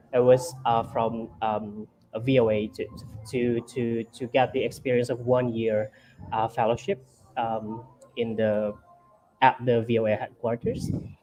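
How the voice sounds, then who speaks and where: Over music in the background, a man with an Indonesian accent speaks slowly in a medium, monotone pitch with flat intonation, taking long, frequent pauses. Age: young. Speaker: journalist. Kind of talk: interview. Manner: halting, many fillers.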